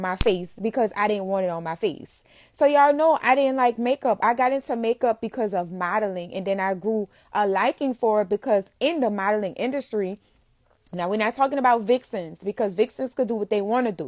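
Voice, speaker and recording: The speaker talks very fast in an animated tone with a New Orleans accent. The sound is dry and close with no echo, a very clean recording with a silent background. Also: woman, fairly high pitch for a woman, ordinary pitch variation. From New Orleans, Louisiana. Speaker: makeup entrepreneur. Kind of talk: casual live-stream talk.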